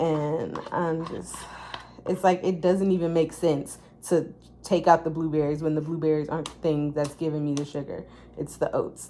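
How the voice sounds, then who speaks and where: A woman's very deep, low voice, flat and monotone at a moderate pace, with noticeable background noise. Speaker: natural bodybuilding competitor, vlogger. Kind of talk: casual vlog monologue. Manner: filler-heavy, conversational.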